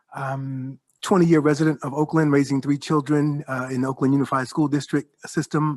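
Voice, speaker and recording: With an American accent, a man talks at a fairly quick pace and a fairly high pitch, the sound dry and close with no echo. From New York. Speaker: professor. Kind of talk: roundtable discussion. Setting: panel before observers.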